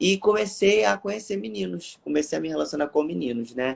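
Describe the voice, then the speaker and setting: Pitch swings very widely while the pace stays moderate. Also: man. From Brazil, Rio de Janeiro. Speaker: evangelical preacher on social media. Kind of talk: testimony; casual chat. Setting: online live stream. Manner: animated.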